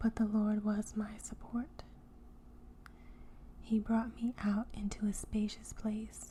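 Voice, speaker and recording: Soft-spoken and gentle in tone, a woman with a fairly high pitch talks at a very slow pace with long, frequent pauses, very even loudness and a monotone, flat intonation. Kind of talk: soft-spoken ASMR Bible reading. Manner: soft-spoken, gentle.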